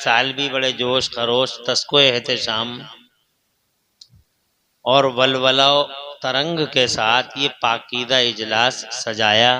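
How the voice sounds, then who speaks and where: Bright and sharp in tone, a man speaks at a medium pitch with monotone, flat intonation. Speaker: Islamic preacher giving a sermon. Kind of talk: religious sermon to a live gathering. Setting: public address at a large religious gathering. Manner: fervent, rhetorical, speaking to the crowd.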